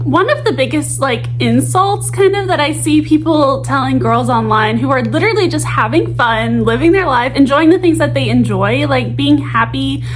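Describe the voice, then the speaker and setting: A woman speaking with hardly any pauses, music in the background. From Arkansas. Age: 20s. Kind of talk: casual talk to camera. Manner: chatty, rambling.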